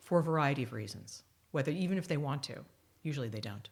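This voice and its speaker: A woman with a strong American accent, a very deep, low pitch and very wide pitch swings, in a very clean recording with a silent background. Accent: American accent, still strong. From US, New York. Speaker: author and futurist. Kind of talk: podcast interview.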